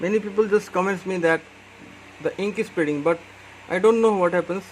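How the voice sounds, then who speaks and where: The speaker has an Indian accent and talks at a fairly quick pace. Noticeable background noise is present. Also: man, high pitch for a man. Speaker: calligraphy tutor. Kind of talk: tutorial.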